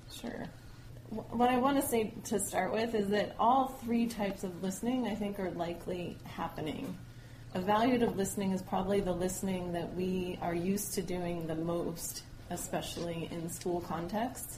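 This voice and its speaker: With noticeable background noise and audible room echo, a woman in an American accent speaks at a moderate pace and medium pitch with ordinary pitch variation. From New Mexico, US. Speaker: education professor. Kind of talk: interview.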